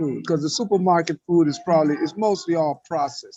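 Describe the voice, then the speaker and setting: A man's lively intonation over music in the background. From Panama. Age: 70s. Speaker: raw food chef and wellness educator. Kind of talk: interview. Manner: hesitant, many fillers.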